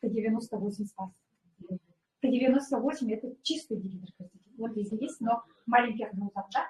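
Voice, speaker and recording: A woman speaks at a fairly quick pace with a fairly high pitch. Her pitch varies in an ordinary way. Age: 60s. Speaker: former pediatrician, wellness product distributor. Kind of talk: product presentation testimony. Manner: hesitant, many fillers.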